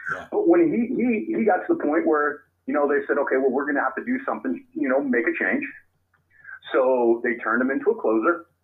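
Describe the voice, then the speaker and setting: With a Californian accent, a man talks at a fairly quick pace. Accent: Californian American English. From Sacramento area, California. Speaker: baseball author and researcher. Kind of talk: interview. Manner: halting, many fillers.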